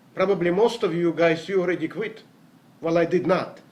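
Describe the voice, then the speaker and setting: There is noticeable background noise as a man talks with a non-native accent. His voice is high and his pace moderate. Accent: foreign. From Latvia, Riga. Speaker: network marketer. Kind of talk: motivational talk. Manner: hesitant.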